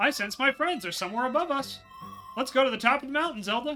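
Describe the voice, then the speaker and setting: A man does a put-on character voice at an extremely high pitch and a very fast pace, with clear background noise behind him. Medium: game stream.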